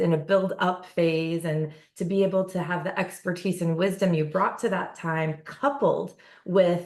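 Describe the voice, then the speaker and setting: Moderately paced, a woman speaks with a fairly low pitch and ordinary pitch variation. It is an ordinary speaking voice. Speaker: nonprofit CEO and podcast host. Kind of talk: podcast interview host. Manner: warm.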